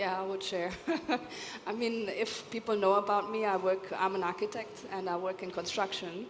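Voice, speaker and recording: Amid noticeable background noise, a woman of medium pitch speaks at a moderate pace with monotone, flat intonation. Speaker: architect, panelist. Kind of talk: panel discussion. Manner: loud.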